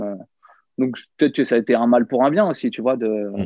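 Here is a man with an ordinary speaking voice at a medium pitch. He talks at a fairly quick pace. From France, Nièvre (Burgundy). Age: 30s. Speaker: professional magician. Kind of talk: casual interview.

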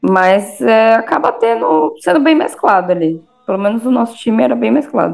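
The pitch swings very widely while the loudness stays very even. The pace is moderate, with music in the background. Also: woman, medium pitch for a woman. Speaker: alumna, former softball player. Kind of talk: casual chat.

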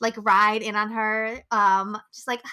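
The voice is raised and projected, with an animated tone. Its tone is bright and sharp. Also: woman. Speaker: podcast co-host. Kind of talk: casual chat; scripted outro.

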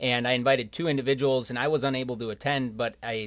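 A man with an American accent, fairly quick and monotone, flat in intonation, on a very clean recording with a silent background. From Rochester, Minnesota. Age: 20s. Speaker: young professionals group member. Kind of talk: podcast interview.

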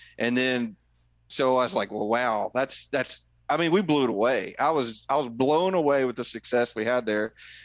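In a Tennessee accent, a man speaks at a moderate pace and medium pitch with ordinary pitch variation. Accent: Southern US (Tennessee). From Middle Tennessee. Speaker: conservation group volunteer leader, hunter. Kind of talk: casual interview chat.

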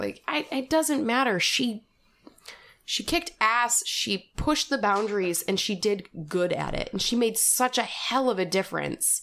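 A woman speaks at a moderate pace with lively intonation. Her tone is bright and sharp, with vocal fry. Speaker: podcast co-host. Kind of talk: casual chat.

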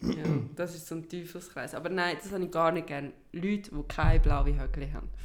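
Speaking with a Swiss accent, a woman uses a fairly low pitch, flat monotone intonation and big swings in loudness at a fairly quick pace. Noticeable background noise and audible room echo fill the recording. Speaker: podcast co-host. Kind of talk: casual chat.

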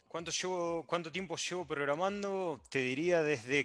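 A man's bright, sharp voice with an Argentine accent and ordinary pitch variation, on a very clean recording with a silent background. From Argentina. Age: 30s. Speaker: software developer. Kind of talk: casual chat. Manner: halting.

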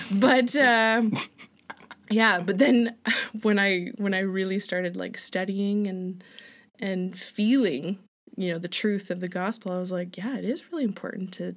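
A woman with an ordinary speaking voice, medium pitch, ordinary pitch variation, big swings in loudness, and moderate pace, on a very clean recording with a silent background. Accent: Canadian. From Alberta, Canada. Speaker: returned missionary, front desk worker. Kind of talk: casual interview.

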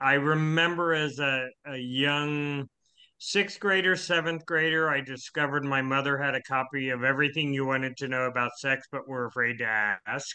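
Here is a man with a plain, everyday voice and fairly high pitch. He talks at a moderate pace with fairly even intonation. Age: 60s. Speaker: podcast guest. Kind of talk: casual chat. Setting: remote call.

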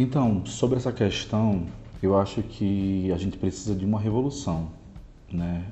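A man's very deep, low voice at a moderate pace, with music in the background. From Brazil, Natal, Rio Grande do Norte. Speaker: artist and performer. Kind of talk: interview.

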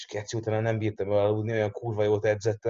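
Over a quiet background, a man talks at a fairly low pitch in a dark, mellow tone. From Hungary, Érd. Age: young. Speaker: strength coach. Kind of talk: casual chat.

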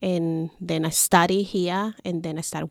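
Speaking very slowly with fairly even intonation, a woman with a fairly low pitch and a Chilean Spanish accent comes through a dry, close sound with no echo on a very clean recording with a silent background. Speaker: podcast guest. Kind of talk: casual interview.

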